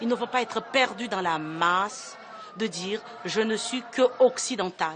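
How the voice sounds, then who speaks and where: A woman's fairly high pitch with ordinary pitch variation, a fairly slow pace, big swings in loudness and noticeable background noise. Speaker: madrasa school founder. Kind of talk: documentary interview. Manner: earnest, emphatic.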